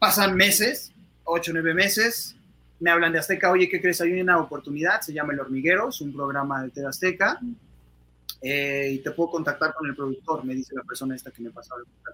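A man with an unremarkable speaking voice talks at a fairly quick pace with a fairly high pitch, ordinary pitch variation and big swings in loudness. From Mexico City. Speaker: actor. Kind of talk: interview.

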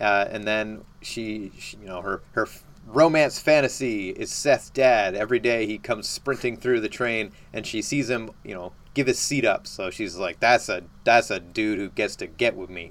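This man speaks at a moderate pace and a medium pitch, with ordinary pitch variation and big swings in loudness. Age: 30s. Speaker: podcast host. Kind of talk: casual chat. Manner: radio-host style delivery.

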